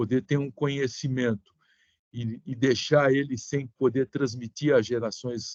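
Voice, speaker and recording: A man speaks at a very slow pace, medium in pitch, with fairly even intonation. The sound is dry and close, with no echo. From Brazil, São Paulo. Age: 60s. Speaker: sanitation engineer. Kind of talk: online seminar remarks.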